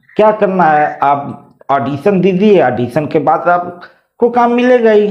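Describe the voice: Audible room echo surrounds a man speaking slowly at a high pitch. His intonation is lively.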